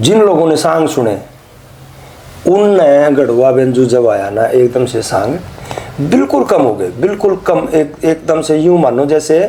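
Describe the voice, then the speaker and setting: Amid noticeable background noise, a man with a Haryana accent speaks with lively intonation. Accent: Haryanvi. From Haryana, India. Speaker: Haryanvi ragni singer and lyricist. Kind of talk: interview answer.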